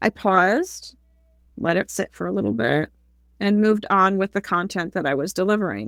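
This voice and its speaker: A woman's medium-pitched voice with lively intonation, dry and close with no echo, on a very clean recording over a silent background. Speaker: public speaking coach. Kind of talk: interview conversation. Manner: fast.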